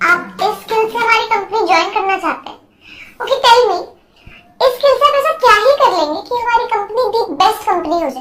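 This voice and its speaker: Using a put-on character voice, a woman speaks at an extremely high pitch. Her pace is fairly quick and her intonation lively. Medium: fan dub. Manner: sharp, questioning.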